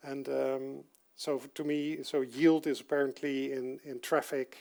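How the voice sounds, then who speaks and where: In a Dutch accent, a man talks at a medium pitch with monotone, flat intonation. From Netherlands. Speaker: software developer giving a conference talk. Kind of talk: technical talk. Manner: halting, many fillers.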